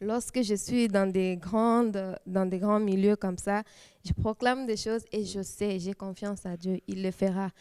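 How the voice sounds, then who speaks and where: In a very clean recording with a silent background and a dry, close sound with no echo, a woman speaks fairly slowly at medium pitch, her dark, mellow tone held in a monotone, flat intonation. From DR Congo, Kisangani. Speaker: church youth leader, lawyer. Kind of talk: testimony. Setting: TV studio. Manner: halting.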